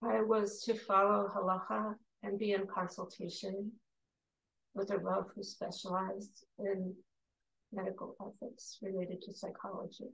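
A woman at medium pitch, flat and monotone, with vocal fry and big swings in loudness. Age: 60s. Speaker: meditation leader and psychotherapist. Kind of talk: guided meditation. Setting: video call. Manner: slow.

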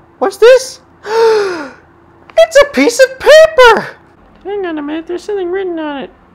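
At a moderate pace, the speaker talks at an extremely high pitch. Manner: excited, upbeat.

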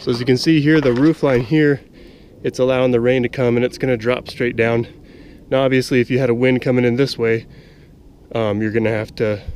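A man talks very fast with fairly even intonation. The sound is dry with no echo, over light background noise. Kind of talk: tutorial. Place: open country. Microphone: phone near.

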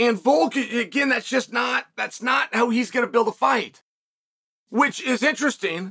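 Over a quiet background, a man uses a raised, projected voice with a bright, sharp tone and ordinary pitch variation. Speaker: sports commentator. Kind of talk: commentary. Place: studio.

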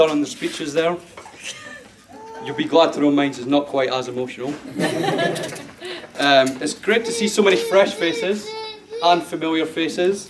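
A man speaks at a fairly slow pace with lively intonation. Noticeable background noise runs under his voice. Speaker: best man. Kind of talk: wedding speech. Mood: jovial, humorous. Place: hall.

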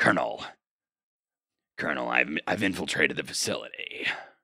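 Putting on a character voice, a man growls at a moderate pace in a very deep, low, raspy pitch.

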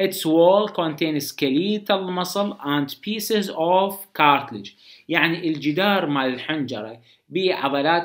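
Over a quiet background, a man with a high voice talks fairly slowly, his intonation lively. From Iraq. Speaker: medical lecturer. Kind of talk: lecture. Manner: casual, conversational. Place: home room.

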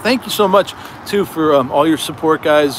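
A man's voice, dry with no echo, amid noticeable background noise. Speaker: livestream host. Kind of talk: casual livestream chat. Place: open country. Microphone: phone near.

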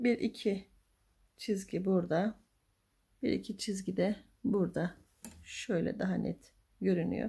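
A soft-spoken woman with vocal fry and a dark, mellow tone talks with long, frequent pauses against a quiet background. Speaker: crochet tutorial youtuber; crochet tutor. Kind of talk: tutorial. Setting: home at night. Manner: halting. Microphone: phone near.

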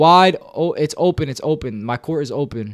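The man's pitch is fairly high. His tone is animated. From Mexican heritage. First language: Spanish. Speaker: video game streamer. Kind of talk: live gaming stream. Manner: animated, repetitive; fast. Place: home room. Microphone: headset.

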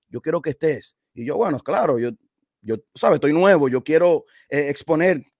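Against a quiet background, a man with a fairly high pitch is heard in a dry sound with no echo. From New Jersey and Dominican Republic. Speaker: DJ; guest. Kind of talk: interview. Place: home room. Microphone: studio mic.

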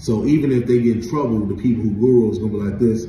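Male speech in a room with audible echo, backed by music. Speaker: vlogger. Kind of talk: casual vlog chat. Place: home room. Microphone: phone near.

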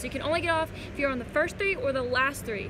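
A high-pitched woman with fairly even intonation against noticeable background noise. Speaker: travel vlogger. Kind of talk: casual vlog chat. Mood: mildly frustrated, then relieved. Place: station. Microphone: phone near.

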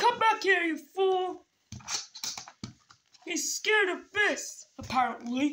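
A shouting, whiny, cartoonish character voice at an extremely high pitch, fairly slow, with long, frequent pauses. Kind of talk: comic overacting. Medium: puppet show. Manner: frantic, whiny, shouting.

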